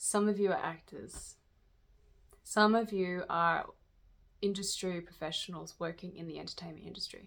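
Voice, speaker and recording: Her medium-pitched voice stays fairly even in intonation, yet this woman's loudness swings a lot, and she leaves long, frequent pauses. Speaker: tarot reader. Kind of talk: channeled spiritual reading. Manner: slow; halting.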